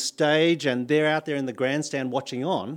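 On a very clean recording with a silent background, a man with a fairly high pitch speaks in an Australian accent. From Australia, New South Wales. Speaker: pastor. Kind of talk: sermon. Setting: church.

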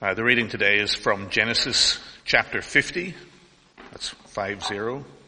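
This is an ordinary speaking voice. A man talks at a medium pitch and a fairly slow pace with ordinary pitch variation. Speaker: scripture reader. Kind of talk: reading aloud. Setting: church.

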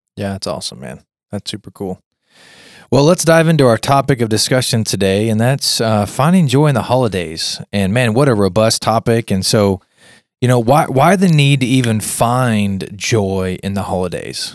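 In a normal speaking voice, a man with an American accent talks at medium pitch and a moderate pace, his intonation lively. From Kansas, US. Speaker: podcast host. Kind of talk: casual chat.

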